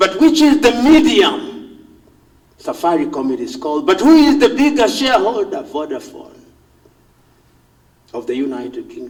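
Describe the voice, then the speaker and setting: At a moderate pace, a man with a Kenyan accent speaks with very wide pitch swings. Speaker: professor, public intellectual. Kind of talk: public speech. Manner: passionate, powerful oratory.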